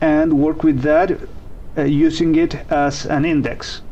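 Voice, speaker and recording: At a very slow pace, the speaker talks with a non-native accent against noticeable background noise. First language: not English. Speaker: programming tutorial host. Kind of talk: tutorial. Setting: live stream. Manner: hesitant, with fillers.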